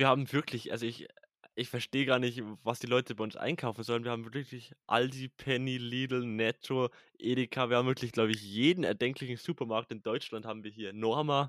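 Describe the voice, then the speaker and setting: The recording is very clean with a silent background and a dry, close sound with no echo. A normal speaking voice moves at a fairly quick pace with fairly even intonation. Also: man, medium pitch for a man. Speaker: podcast co-host. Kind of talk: casual chat.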